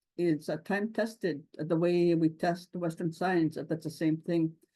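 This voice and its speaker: A woman's fairly low, dark, mellow voice moves at a fairly slow pace with fairly even intonation. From Lake St. Martin First Nation, Manitoba, Canada. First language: Anishinaabemowin. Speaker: government scientist. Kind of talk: conference talk. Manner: halting, many fillers.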